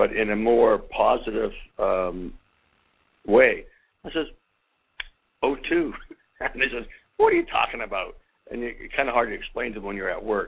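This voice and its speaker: A man talks at a moderate pace, with long, frequent pauses. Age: 60s. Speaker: salesperson. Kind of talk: personal testimonial.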